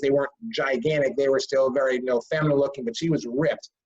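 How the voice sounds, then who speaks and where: A somewhat breathy man's voice at a very fast pace, with ordinary pitch variation. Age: 60s. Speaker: author. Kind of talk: casual chat. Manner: halting.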